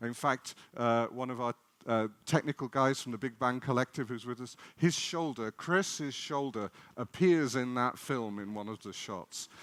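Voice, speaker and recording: A man with an English accent talks at medium pitch and a moderate pace, with ordinary pitch variation and big swings in loudness. The sound is dry and close, with no echo. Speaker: particle physicist. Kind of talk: public lecture. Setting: festival stage with audience.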